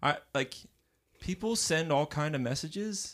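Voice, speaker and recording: The recording is very clean and the background silent. His intonation, a man's, is lively throughout. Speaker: podcast host. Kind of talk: casual interview chat. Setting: studio. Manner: loud.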